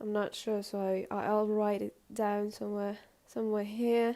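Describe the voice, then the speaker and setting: A woman with a non-native accent, fairly high in pitch and dark and mellow in tone, at a very slow pace. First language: not English. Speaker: artist and video creator. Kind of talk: casual vlog talk to camera. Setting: indoors, filming in front of a window. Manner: halting, many hesitations and self-corrections.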